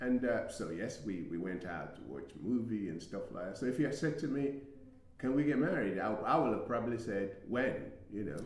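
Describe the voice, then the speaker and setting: A man's medium-pitched voice at a fairly quick pace, with very wide pitch swings, audible room echo and noticeable background noise. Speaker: relationship talk show co-host. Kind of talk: live casual discussion. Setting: studio. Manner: halting, stuttering.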